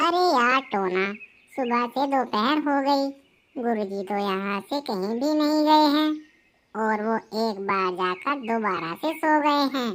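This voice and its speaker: In a very clean recording with a silent background, a woman does a high-pitched cartoonish character voice with lively intonation at a fairly slow pace. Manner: bossy, reasoning.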